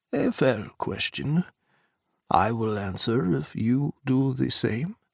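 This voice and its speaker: A man's put-on character voice, medium in pitch and fairly slow, in a very clean recording with a silent background. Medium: read story. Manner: formal, no contractions.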